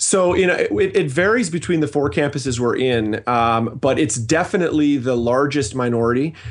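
A plain, everyday voice in a Canadian accent moves at a fairly quick pace with hardly any pauses. Its intonation is lively and its loudness very even. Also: man, fairly high pitch for a man. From Canada. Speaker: pastor. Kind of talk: interview.

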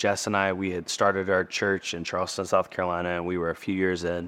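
A man's very deep, low voice in a monotone, flat delivery, with hardly any pauses and a quiet background. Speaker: author and pastor. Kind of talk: interview. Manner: calm.

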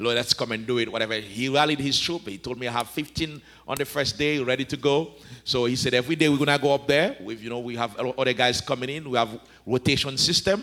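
A man speaks at a medium pitch and a very fast pace, with ordinary pitch variation. His tone is bright and sharp. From Haiti. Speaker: pastor. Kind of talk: interview about ministry and marriage, with sermon-like passages.

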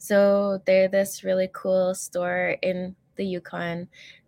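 A woman speaks with a Canadian accent at a medium pitch. The sound is dry and close, with no echo. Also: very clean recording, silent background. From northern Alberta, Canada. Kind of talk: interview.

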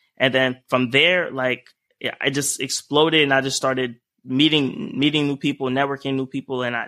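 This man talks at a moderate pace in a medium pitch, with fairly even intonation and a normal speaking voice. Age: 20s. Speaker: entrepreneur. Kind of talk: casual chat.

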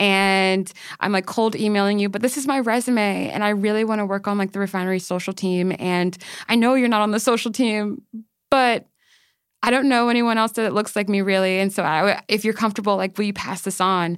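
In a normal speaking voice, a woman talks at a fairly quick pace with a medium pitch and fairly even intonation, on a very clean recording with a silent background. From Maryland, US. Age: 20s. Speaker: journalist and editor. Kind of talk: casual interview chat.

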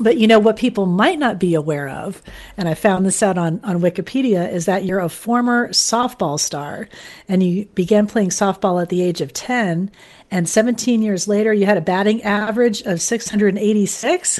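A woman with a normal speaking voice, medium in pitch, with ordinary pitch variation and an American accent. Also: moderate pace. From Florida, Fort Lauderdale. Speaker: radio program developer and interviewer. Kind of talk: interview, casual chat.

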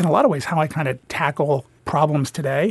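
Against a quiet background, a man speaks at a moderate pace with fairly even intonation. His voice is fairly high-pitched and somewhat breathy. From New Jersey. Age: 50s. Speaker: bank executive. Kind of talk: interview.

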